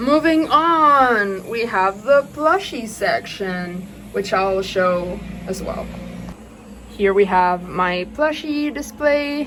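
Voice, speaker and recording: Very slow speech from a woman with a medium pitch and very wide pitch swings, over noticeable background noise. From Chile. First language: Spanish. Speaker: doll collector, YouTuber. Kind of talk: collection tour vlog. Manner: casual, many filler ums.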